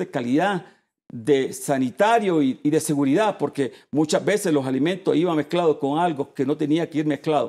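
Fairly high-pitched for a man, this male voice has a dark, mellow tone, ordinary pitch variation and a fairly quick pace. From Puerto Rico. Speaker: chamber of commerce president; guest. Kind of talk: TV interview. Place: studio.

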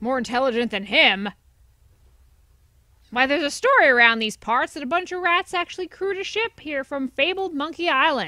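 A woman's put-on character voice, high-pitched, at a fairly quick pace. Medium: solo performance. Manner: gruff, sarcastic.

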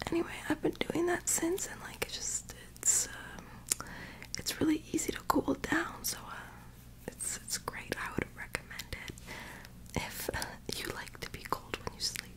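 Whispering and soft-spoken, a woman talks at a fairly slow pace with long, frequent pauses amid noticeable background noise. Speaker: ASMR creator. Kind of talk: soft casual bedtime chat and storybook reading. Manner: soft whispered ASMR talk, lying down. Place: home room. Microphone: phone near.

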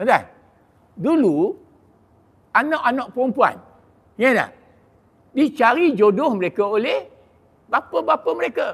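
The intonation is lively. Long, frequent pauses break up the speech. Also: man, extremely high pitch for a man, fairly slow pace. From Malaysia. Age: 60s. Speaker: religious preacher. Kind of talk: sermon. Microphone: handheld.

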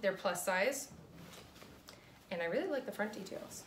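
With light background noise behind her, a woman speaks with very wide pitch swings. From New England. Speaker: clothing reseller. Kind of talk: casual talk to camera. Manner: fast. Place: home room. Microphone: phone near.

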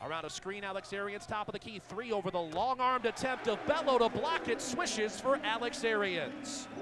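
A high-pitched male voice, dry with no echo, against noticeable background noise. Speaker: play-by-play announcer. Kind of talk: rapid-fire basketball play-by-play highlight commentary. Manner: excitable bursts on big shots. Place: stadium. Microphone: headset.

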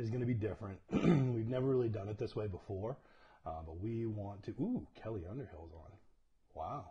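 A man speaks with a fairly low pitch and a dark, mellow tone, somewhat breathy. Light background noise is present. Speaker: church leader hosting livestream. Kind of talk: casual livestream greeting. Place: home room. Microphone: lapel.

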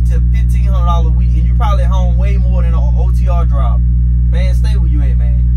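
Loud background noise fills the clip. A man speaks over it at a fairly quick pace. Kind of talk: casual vlog chat. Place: car. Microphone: phone near.

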